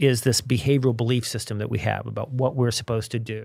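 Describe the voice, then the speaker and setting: In a very clean recording with a silent background, a man with an American accent speaks at medium pitch with vocal fry. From Virginia. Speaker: behavioral science author. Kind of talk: casual interview. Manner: halting, many repetitions.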